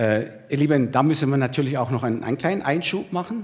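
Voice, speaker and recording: A somewhat breathy man at fairly high pitch, fairly quick pace and lively intonation, on a very clean recording with a silent background. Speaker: preacher. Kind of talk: sermon to a church congregation, with a livestream audience, teaching and exhorting. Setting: church hall with a live congregation and livestream.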